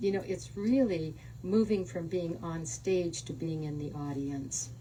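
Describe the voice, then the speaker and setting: An American accent over noticeable background noise, with audible room echo. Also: woman. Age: 80s+. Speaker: author. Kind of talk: book talk.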